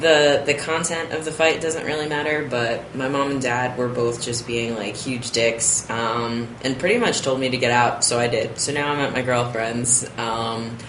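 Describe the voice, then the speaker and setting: A man's medium-pitched voice at a moderate pace, with fairly even intonation, hardly any pauses, and noticeable background noise. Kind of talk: casual talk to camera.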